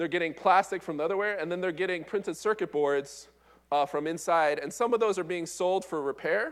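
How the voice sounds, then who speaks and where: Recorded very cleanly against a silent background, a man with a high pitch talks at a fairly quick pace with ordinary pitch variation. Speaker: engineering professor. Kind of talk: conference talk. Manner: fast.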